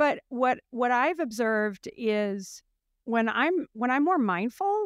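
A woman speaks at a very slow pace, her voice sounding dry and close with no echo. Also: very clean recording, silent background. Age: 50s. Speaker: podcast host and company founder. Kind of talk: casual interview chat.

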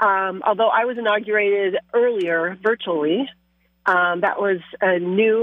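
Using a normal speaking voice, a woman with an American accent talks at a medium pitch and a moderate pace with fairly even intonation. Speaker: state legislator. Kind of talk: radio interview. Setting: phone call.

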